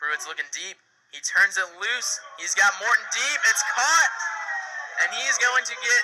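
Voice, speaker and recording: In a raised, projected voice pitched extremely high, a man speaks with very wide pitch swings and big swings in loudness. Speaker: sports broadcaster. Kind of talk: football play-by-play commentary. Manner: fast, excited.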